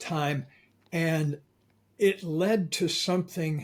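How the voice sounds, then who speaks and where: With an American accent, a man talks in a somewhat breathy voice and fairly even intonation, on a very clean recording with a silent background. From Florida. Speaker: author and coach. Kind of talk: interview.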